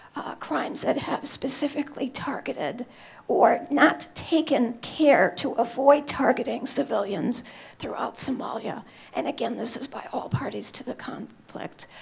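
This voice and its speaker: The voice is whispering at a fairly slow pace. Its loudness swings widely. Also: woman. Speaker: human rights advocate, panelist. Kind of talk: panel talk. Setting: conference stage with audience.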